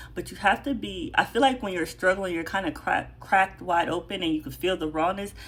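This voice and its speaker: Speaking at a fairly quick pace, a woman uses a fairly low pitch with lively intonation and vocal fry. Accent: American. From Jamaican family, first-generation American. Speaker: spiritual content creator. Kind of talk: spiritual monologue to viewers. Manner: fast; passionate.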